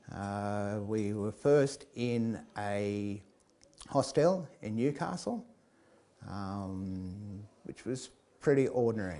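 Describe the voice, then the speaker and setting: Very slowly and with long, frequent pauses, a man speaks in a fairly low, dark, mellow voice with ordinary pitch variation. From England, raised in Australia. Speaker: storyteller. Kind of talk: storytelling. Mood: relaxed, amused. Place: hall. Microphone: lapel.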